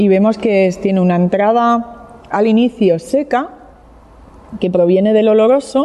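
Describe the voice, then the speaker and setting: Noticeable background noise fills the recording. Over it, a woman talks with a fairly high pitch. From Catalonia, Spain (Barcelona). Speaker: winemaker. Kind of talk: wine tasting presentation. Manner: halting, frequent fillers and repetitions.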